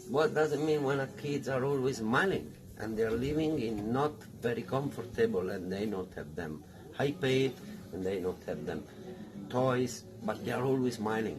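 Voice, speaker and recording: Someone with an Italian accent speaks at a moderate pace with lively intonation, with audible room echo and noticeable background noise. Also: man, medium pitch for a man. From Italy. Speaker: restaurant owner. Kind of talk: interview. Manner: halting.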